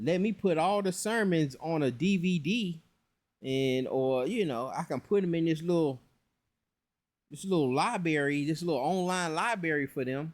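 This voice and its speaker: In a very clean recording with a silent background, a man speaks in a relaxed tone at a fairly slow pace with ordinary pitch variation. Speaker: religious teacher. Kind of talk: casual commentary to camera on religion. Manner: relaxed, conversational.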